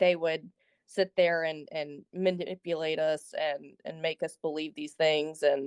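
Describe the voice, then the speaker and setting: A woman speaks with a Southern US accent, her very deep, low pitch held in a monotone, flat intonation. She goes at a fairly slow pace, and the sound is dry and close with no echo. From US South, Alabama. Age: young. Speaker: caller. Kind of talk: casual chat.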